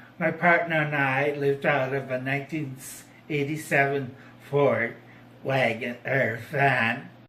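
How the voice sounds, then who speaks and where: Amid audible room echo, a man with a fairly high pitch speaks at a fairly slow pace with fairly even intonation. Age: 60s. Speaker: formerly homeless man. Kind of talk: personal testimony. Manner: halting.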